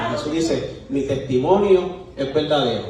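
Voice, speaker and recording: The speech moves at a fairly slow pace with ordinary pitch variation. Audible room echo and noticeable background noise surround it. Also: man. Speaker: preacher. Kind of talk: sermon. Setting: church.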